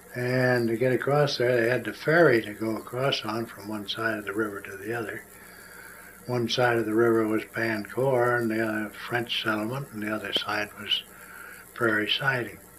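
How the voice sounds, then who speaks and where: Amid noticeable background noise, a man at a medium pitch speaks at a moderate pace with monotone, flat intonation. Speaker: oral history interviewee. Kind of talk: oral history storytelling. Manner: halting with repetitions.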